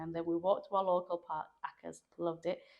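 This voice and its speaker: The speaker is a woman. Her pitch sits fairly low. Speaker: local councillor. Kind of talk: podcast interview. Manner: fast.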